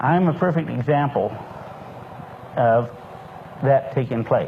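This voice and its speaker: A man's voice shows ordinary pitch variation against noticeable background noise. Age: 60s. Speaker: lecturer on a nutritional supplement. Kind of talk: lecture. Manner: folksy storytelling.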